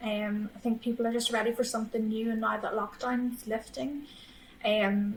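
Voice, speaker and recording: Her voice fairly high and somewhat breathy, a woman speaks in a monotone, flat intonation. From Northern Ireland, Armagh. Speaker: matchmaker, business founder. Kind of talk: podcast interview.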